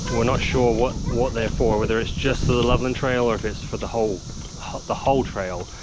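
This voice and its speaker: A man talks at a fairly quick pace in a monotone, flat intonation and medium pitch, with noticeable background noise and audible room echo. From England. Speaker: outdoor vlogger and father. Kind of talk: casual vlog narration while cycling. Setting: outdoors on a bike trail. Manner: relaxed, many fillers (uh, um).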